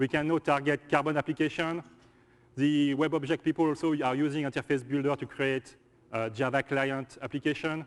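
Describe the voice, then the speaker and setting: A man speaks with a French accent in a monotone, flat intonation. The sound is dry and close with no echo, over a quiet background. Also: fairly high pitch for a man, fairly quick pace. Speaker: software engineer presenter. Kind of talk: conference presentation. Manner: halting.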